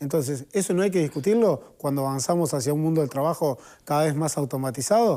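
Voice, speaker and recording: Very fast, a man talks at a fairly high pitch with ordinary pitch variation. His tone is dark and mellow, and the recording is very clean with a silent background. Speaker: trade union leader. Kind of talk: TV panel debate.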